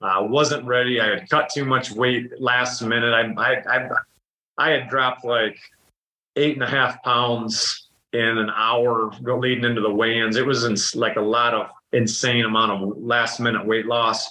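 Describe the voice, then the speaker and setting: Speaking with an American accent, a man uses a medium-pitched, bright and sharp voice at a fairly slow pace, with monotone, flat intonation and very even loudness. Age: 40s. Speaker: dairy farmer and former wrestler. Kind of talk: casual interview chat.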